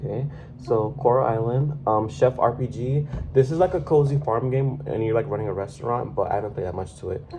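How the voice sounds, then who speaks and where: Over music in the background, a man speaks at a medium pitch and a moderate pace. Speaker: gaming YouTuber. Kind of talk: casual chat. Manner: halting.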